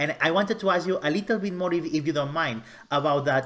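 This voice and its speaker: A man talks at a very fast pace with a Spanish accent. His pitch variation is ordinary. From Spain. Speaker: show host. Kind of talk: interview.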